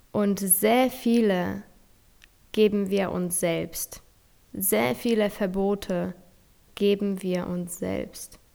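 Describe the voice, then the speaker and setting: With a dark, mellow tone, a woman speaks at a very slow pace, leaving long, frequent pauses. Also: medium pitch for a woman, ordinary pitch variation. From Poland. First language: Polish (speaking German). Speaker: podcast host and nutrition coach. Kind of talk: motivational monologue. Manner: animated.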